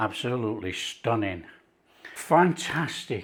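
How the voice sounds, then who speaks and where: With a Yorkshire accent, a man talks at a fairly slow pace with lively intonation on a very clean recording against a silent background. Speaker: cooking presenter. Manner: enthusiastic.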